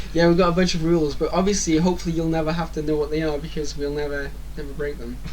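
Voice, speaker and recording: This man talks at a very fast pace. Room echo and noticeable background noise can be heard. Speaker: podcast co-host. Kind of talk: casual chat.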